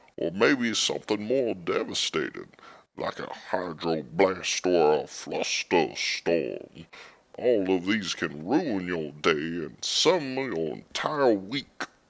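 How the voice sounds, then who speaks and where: In a put-on character voice, a man speaks at a very slow pace with a very deep, low pitch. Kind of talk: interview answer. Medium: audio drama.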